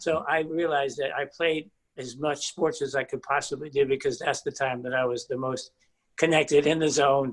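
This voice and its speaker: Fairly high in pitch, a man with a normal speaking voice talks at a moderate pace with fairly even intonation. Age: 60s. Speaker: group member. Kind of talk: casual chat.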